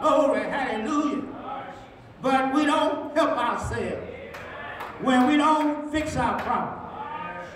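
Over crowd noise in the background, the speech comes at a very slow pace with audible room echo. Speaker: senior pastor. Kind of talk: sermon. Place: church.

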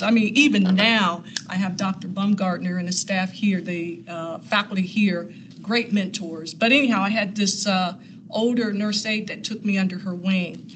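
A woman with an American accent uses an ordinary speaking voice at medium pitch and a moderate pace, with fairly even intonation and light background noise. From US Midwest, Columbus Ohio west side. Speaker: nurse and clinical instructor; clinical instructor. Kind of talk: personal storytelling talk. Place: meeting room.

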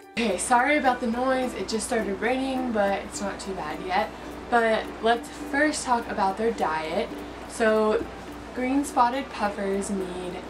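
A woman talks at a fairly slow pace with music in the background. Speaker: fish keeper vlogger. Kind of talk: tutorial. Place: home room. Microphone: camera far.

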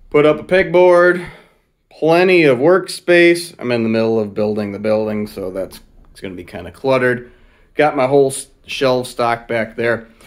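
A man at a moderate pace, with big swings in loudness, against a quiet background. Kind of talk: casual vlog tour. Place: workshop. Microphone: helmet.

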